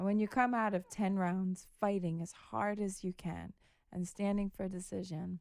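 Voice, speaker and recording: Soft-spoken, the speaker has an American accent. The pace is moderate and the intonation fairly even. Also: woman, medium pitch for a woman. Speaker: professional boxer. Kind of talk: podcast interview.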